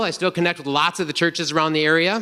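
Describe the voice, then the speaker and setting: A man speaks in a raised, projected voice. He has an American accent. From North Dakota, US. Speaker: retreat speaker, engineer. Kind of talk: testimony talk. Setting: stage with audience at men's retreat. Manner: energetic.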